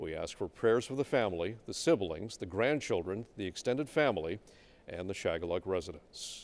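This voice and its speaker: At a moderate pace, a man speaks in a normal speaking voice, fairly low in pitch, with lively intonation. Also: very clean recording, silent background. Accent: American. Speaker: TV news anchor. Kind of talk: TV news anchor reading.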